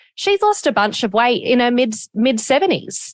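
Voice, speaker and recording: An Australian accent at a fairly quick pace, with ordinary pitch variation. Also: woman. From Australia, Gold Coast. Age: 30s. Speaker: podcast host. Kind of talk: interview.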